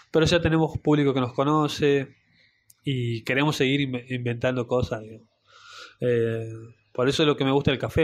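Pitched fairly high, a man talks at a moderate pace with fairly even intonation and long, frequent pauses. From Salta, northern Argentina. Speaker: barista and café owner. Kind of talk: interview.

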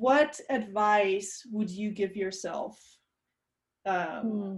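Her pace is very slow. The woman's voice has a somewhat breathy quality. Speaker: podcast host. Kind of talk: casual interview.

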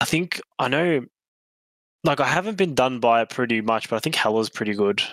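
A man speaks at a fairly quick pace in a normal speaking voice, with medium pitch and lively intonation. The sound is dry and close, with no echo. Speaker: podcast co-host. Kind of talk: casual chat.

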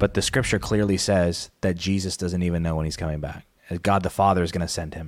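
Speaking very fast with an American accent, a man with a very deep, low pitch keeps his intonation fairly even on a very clean recording with a silent background. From Arizona, Pinal County. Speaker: associate pastor and podcast producer. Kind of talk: casual chat.

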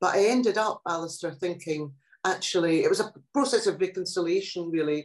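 This woman speaks in a Scottish accent at a fairly low pitch. Her pace is fairly quick, with ordinary pitch variation. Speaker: poet and translator. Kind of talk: interview. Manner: animated.

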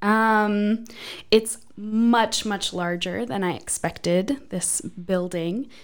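A woman with an American accent, medium in pitch, at a very slow pace. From northeastern Pennsylvania, US. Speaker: church administrative assistant. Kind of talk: casual interview chat.

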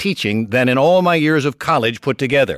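In a normal speaking voice of medium pitch, a man talks fairly quickly with lively intonation. The sound is dry and close with no echo, a very clean recording against a silent background. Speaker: author. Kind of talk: scripted narration.

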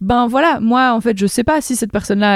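The sound is dry and close with no echo as a woman speaks at a moderate pace, with ordinary pitch variation. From Belgium, province of Namur. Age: 30s. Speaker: politician. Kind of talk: interview. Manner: halting, many repetitions.

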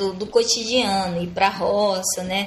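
Background music can be heard. Over it, a woman talks. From Amazonas, Brazil (Sateré-Mawé community, lower Amazon). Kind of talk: interview. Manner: halting, many repetitions and fillers.

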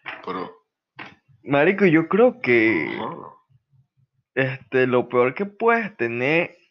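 At a fairly slow pace, a man speaks in an animated tone with a fairly high pitch. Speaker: podcast host. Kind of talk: casual chat.

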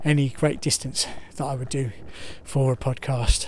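A somewhat breathy man with a fairly high pitch and monotone, flat intonation. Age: 50s. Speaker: podcaster. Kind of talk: casual walking monologue. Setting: outdoors on a walk with dog. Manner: rambling, hesitant with fillers.

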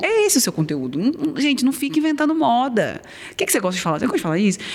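The woman's pitch swings very widely while noticeable background noise carries on. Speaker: ENT doctor. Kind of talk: casual interview chat.

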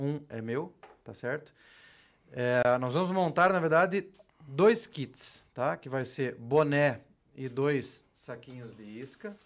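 A man with a fairly high pitch talks at a very slow pace, with long, frequent pauses. His intonation is lively, and his loudness swings widely. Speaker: podcast host. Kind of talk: casual podcast chat with giveaway announcements. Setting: studio.

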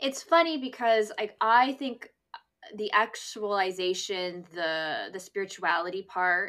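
In a Canadian accent, a woman speaks at medium pitch with a bright, sharp tone and ordinary pitch variation. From Canada, near Toronto. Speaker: podcast host and dating writer. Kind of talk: casual chat. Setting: video call.

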